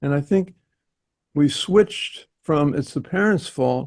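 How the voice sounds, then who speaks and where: A somewhat breathy man speaks with fairly high pitch and very wide pitch swings at a fairly slow pace. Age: 80s+. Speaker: therapist. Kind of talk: meeting discussion, personal anecdote.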